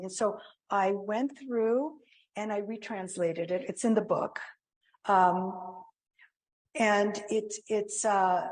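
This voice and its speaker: A woman's medium-pitched voice with ordinary pitch variation, long and frequent pauses, and audible room echo. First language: Greek. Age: 70s. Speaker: spiritual author and speaker. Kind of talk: talk with audience Q&A. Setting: church with audience and online. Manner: halting.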